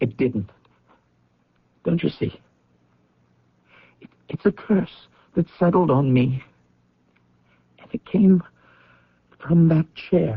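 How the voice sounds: A man does a put-on character voice at a fairly high pitch with a husky, rough edge. His intonation is lively, his pace slow, and his pauses long and frequent.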